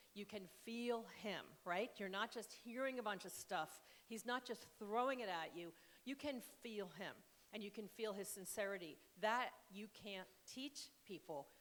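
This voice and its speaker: In an ordinary speaking voice, a woman with a fairly high pitch talks at a moderate pace with ordinary pitch variation. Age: 60s. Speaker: author and spiritual counselor. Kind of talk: casual onstage conversation. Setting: stage with audience.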